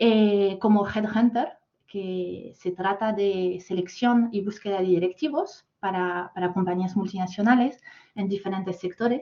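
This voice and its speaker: A woman's medium-pitched voice with a French accent and fairly even intonation. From France. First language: French (speaking Spanish). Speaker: corporate talent manager. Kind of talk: masterclass talk. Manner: halting, many fillers.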